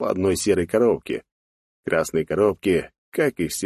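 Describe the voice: Ordinary pitch variation in plain reading aloud, quiet background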